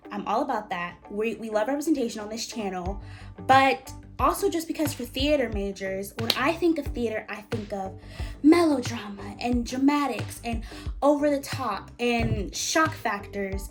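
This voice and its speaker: With music in the background, a woman with a fairly high pitch talks at a moderate pace in an upbeat tone, her intonation lively and her loudness swinging widely. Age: 20s. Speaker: college student. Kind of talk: casual talk to camera.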